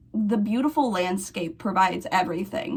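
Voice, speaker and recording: A woman with an American accent speaks at a moderate pace. Her voice is fairly high, somewhat breathy, and lively in intonation. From Missouri. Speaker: history video essayist. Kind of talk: casual video essay.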